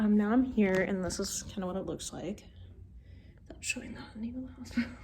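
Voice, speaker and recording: Over noticeable background noise, a woman with a fairly high pitch talks at a fairly quick pace, with ordinary pitch variation and big swings in loudness. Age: 20s. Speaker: vlogger with chronic illness. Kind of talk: casual vlog. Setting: hospital sleep lab. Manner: filler-heavy casual speech; quiet.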